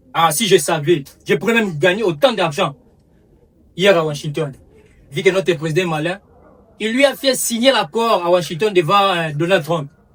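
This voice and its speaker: With a Congolese accent, a man speaks at a moderate pace in a high pitch with lively intonation. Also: long, frequent pauses. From DR Congo. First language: Lingala (speaking French). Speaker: comedian. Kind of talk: comic monologue. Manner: halting.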